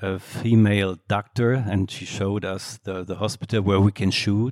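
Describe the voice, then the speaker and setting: A man with a German accent speaks at a moderate pace with a fairly low pitch and monotone, flat intonation on a very clean recording with a silent background and a dry, close sound with no echo. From Germany, Solingen. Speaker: film director. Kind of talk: on-stage Q&A conversation. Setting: stage with audience. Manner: halting.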